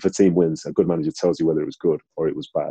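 A man talks at a very fast pace in a Manchester accent. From Manchester, England (born in Nigeria). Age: 30s. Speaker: ex-professional footballer. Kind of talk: interview.

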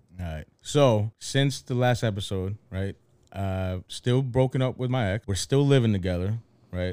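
A man with a Philadelphia accent and a dark, mellow tone, ordinary pitch variation, on a very clean recording with a silent background. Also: medium pitch for a man, moderate pace. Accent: Philadelphia American English. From Philadelphia, US. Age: 30s. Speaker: podcast co-host. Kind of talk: casual chat.

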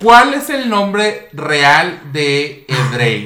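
A man with a high pitch speaks in a raised, projected voice with an animated tone. His pitch swings very widely, and audible room echo surrounds him. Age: 30s. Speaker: podcast host. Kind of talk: casual chat.

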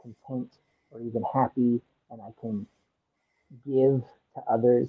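Speaking with an American accent, a man's voice sits at a medium pitch. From Texas, College Station. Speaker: high school science teacher in recovery. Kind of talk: casual chat. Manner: halting.

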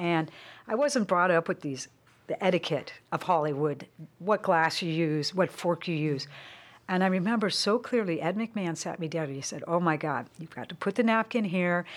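On a very clean recording with a silent background, a woman with a Californian accent speaks at a moderate pace, fairly low in pitch, with lively intonation. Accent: Californian American. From San Francisco Bay Area. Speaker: former celebrity photographer. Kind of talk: casual chat.

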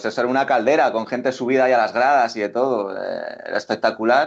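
Over a quiet background, a man with an unremarkable speaking voice talks at a fairly quick pace with fairly even intonation. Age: 20s. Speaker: futsal pundit. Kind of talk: casual chat. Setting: call.

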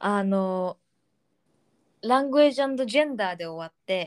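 Very slowly, a woman speaks at a fairly high pitch with lively intonation. The sound is dry and close, with no echo. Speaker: podcast co-host. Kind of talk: casual bilingual chat.

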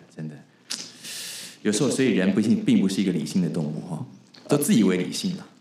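A man talks at a very fast pace yet leaves long, frequent pauses, with audible room echo around him. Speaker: podcast host. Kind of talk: interview.

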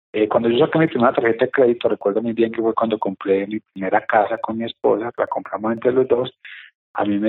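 At a very fast pace, a man speaks with a medium pitch and fairly even intonation. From Colombia. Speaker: real estate investor and course teacher. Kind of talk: interview. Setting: office, remote.

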